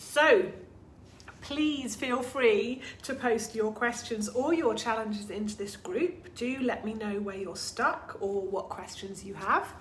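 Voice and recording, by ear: A woman puts on a croaky character voice with a fairly high pitch and lively intonation, speaking at a fairly slow pace over light background noise.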